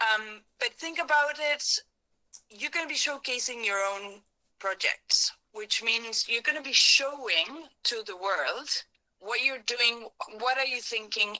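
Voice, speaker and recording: A woman with a Spanish accent speaks at a fairly slow pace in a fairly high pitch, her tone bright and sharp and her intonation lively, with a dry, close sound and no echo. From Argentina. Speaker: workshop facilitator. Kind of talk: workshop talk.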